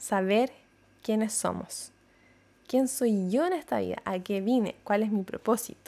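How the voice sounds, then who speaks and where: The tone is dark and mellow, with ordinary pitch variation. Delivery comes at a fairly slow pace with long, frequent pauses. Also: woman, fairly high pitch for a woman. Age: 30s. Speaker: psychologist and podcast host. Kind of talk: reflective monologue. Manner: hesitant, repeats words.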